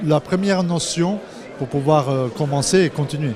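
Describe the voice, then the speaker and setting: A fairly high-pitched man at a moderate pace, with ordinary pitch variation over noticeable background noise. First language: not French (speaking French). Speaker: pianist. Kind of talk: interview.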